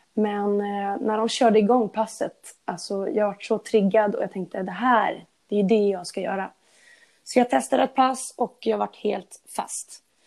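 A woman with a normal speaking voice and medium pitch talks at a fairly slow pace. The recording is very clean, with a silent background. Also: ordinary pitch variation. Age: 20s. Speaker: after-school teacher and fitness enthusiast. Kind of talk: casual interview.

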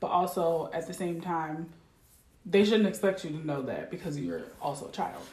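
At a moderate pace, a woman with a plain, everyday voice speaks in a fairly low pitch with fairly even intonation. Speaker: podcast guest. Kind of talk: casual chat.

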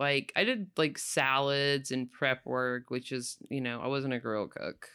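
In a Southern US accent, a woman with a very deep, low pitch speaks at a fairly slow pace on a very clean recording with a silent background. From North Florida, rural Panhandle. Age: 40s. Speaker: cook, host's mother. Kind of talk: casual interview.

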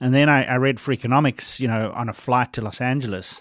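A man speaks at a very fast pace with ordinary pitch variation. The recording is very clean, dry and close, with no echo and a silent background. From South Africa. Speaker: evolutionary biologist and author. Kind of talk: casual interview. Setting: university office.

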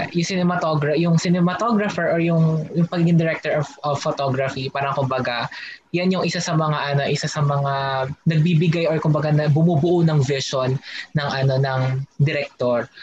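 A man at a fairly quick pace with fairly even intonation, amid noticeable background noise. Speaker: guest co-host, film student. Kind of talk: podcast interview.

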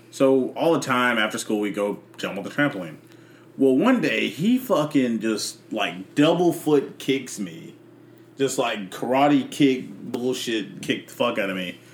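The speaker talks at a fairly slow pace with lively intonation over noticeable background noise. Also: man, medium pitch for a man. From Memphis, Tennessee. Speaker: podcast guest. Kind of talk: casual chat.

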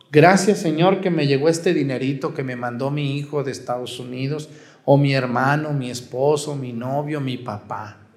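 A man's fairly high voice in a Mexican accent, with ordinary pitch variation, audible room echo and noticeable background noise. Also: moderate pace. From Mexico, Jalisco. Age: 40s. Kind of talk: sermon. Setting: outdoor mass with congregation.

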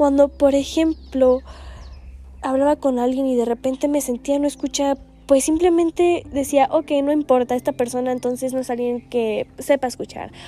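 High in pitch, this woman's voice carries a dark, mellow tone. She speaks at a moderate pace. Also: fairly even intonation. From Guatemala. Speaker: podcast host. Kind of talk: reflective monologue. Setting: seated, solo recording.

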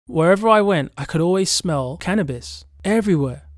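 A man talks at a moderate pace with lively intonation in a very clean recording with a silent background. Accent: English. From England, Birmingham. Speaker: travel podcaster. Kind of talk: scripted narration.

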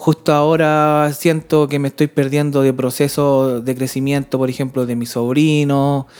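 A woman with a Chilean accent speaks at a fairly slow pace in a very deep, low pitch, her monotone, flat delivery leaving hardly any pauses. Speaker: podcast co-host. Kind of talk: casual chat.

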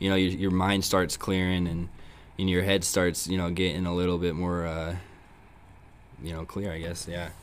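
With an American accent, a man talks at a moderate pace in a very deep, low voice, his intonation flat and monotone, broken by long, frequent pauses and carrying audible room echo. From San Diego, California. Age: 20s. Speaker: recovering alcoholic sharing his story. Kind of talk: testimony. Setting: recovery meeting.

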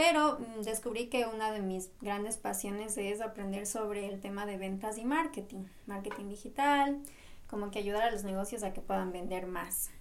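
Amid noticeable background noise and audible room echo, a woman with a medium pitch talks at a moderate pace with ordinary pitch variation. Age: 20s. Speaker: podcast co-host, architecture student. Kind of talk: casual chat.

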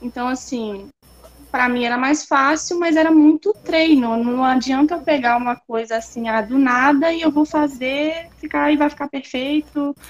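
A woman with a high pitch and ordinary pitch variation speaks at a moderate pace. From Espírito Santo, Brazil. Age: 20s. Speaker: artist and university student. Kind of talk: casual interview.

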